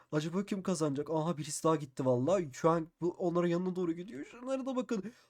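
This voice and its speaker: Talking at a very fast pace, a man uses a high pitch. His tone is animated and his intonation lively. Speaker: Minecraft YouTuber. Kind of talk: gameplay commentary.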